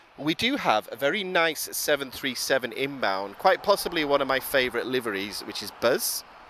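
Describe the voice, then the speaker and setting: At a fairly quick pace, a man's voice makes very wide pitch swings against noticeable background noise. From Wales. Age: 30s. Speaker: live plane-spotting commentator. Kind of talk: live commentary. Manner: animated.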